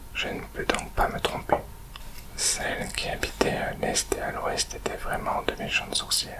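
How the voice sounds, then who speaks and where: Whispering in a soothing tone at a very slow pace, over noticeable background noise. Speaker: ASMR reader. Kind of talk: whispered story reading, ASMR audiobook. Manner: whispered, soothing.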